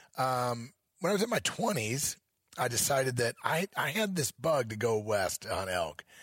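An ordinary speaking voice with an American accent moves at a moderate pace, on a very clean recording with a silent background and a dry, close sound with no echo. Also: man. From Missouri. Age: 50s. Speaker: elk hunting educator. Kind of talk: interview. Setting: event venue.

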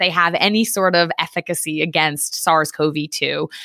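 Bright and sharp in tone, a woman's voice comes through in a very clean recording with a silent background and a dry, close sound free of echo. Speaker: science podcast host. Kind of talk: educational explanation.

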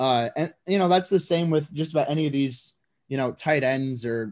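A man with a plain, everyday voice talks at a moderate pace in a fairly high pitch with ordinary pitch variation. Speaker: lead draft analyst, co-host. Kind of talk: casual banter, sports analysis.

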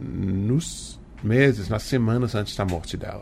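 A man talks at a very slow pace, his voice somewhat breathy. His pitch varies an ordinary amount. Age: 40s. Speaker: author. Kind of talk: interview.

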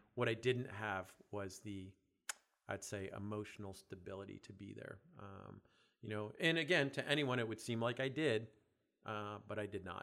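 Moderately paced with ordinary pitch variation, this is a plain, everyday voice. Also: man, fairly low pitch for a man. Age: 50s. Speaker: fitness business founder. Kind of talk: casual chat.

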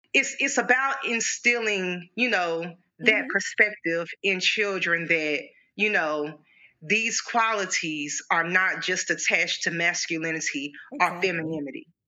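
A woman talks at a moderate pace and medium pitch. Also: lively intonation. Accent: Arkansas. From Arkansas, US South. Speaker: playwright and educator. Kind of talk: interview conversation. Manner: halting, many fillers.

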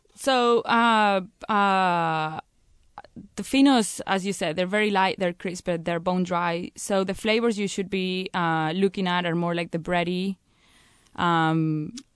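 A woman's fairly slow speech in a Spanish accent. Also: medium pitch for a woman, ordinary pitch variation. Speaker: sherry producer representative. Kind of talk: interview.

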